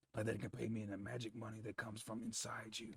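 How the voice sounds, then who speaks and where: A man puts on a raspy character voice at a medium pitch. He talks at a very fast pace. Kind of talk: hard-boiled detective voice-over. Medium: game stream. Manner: dry, sardonic, world-weary.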